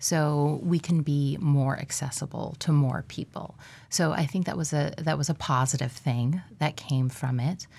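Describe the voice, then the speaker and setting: The voice is somewhat breathy with a dark, mellow tone, moving at a fairly slow pace with fairly even intonation over a very clean recording and silent background. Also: woman, very deep, low pitch for a woman. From Alaska. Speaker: occupational therapist. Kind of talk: radio interview.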